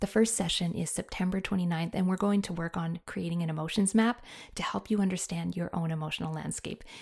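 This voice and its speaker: Somewhat breathy and fairly low in pitch, a woman speaks at a fairly quick pace with fairly even intonation. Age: 40s. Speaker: podcast host and counsellor. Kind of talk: solo podcast monologue.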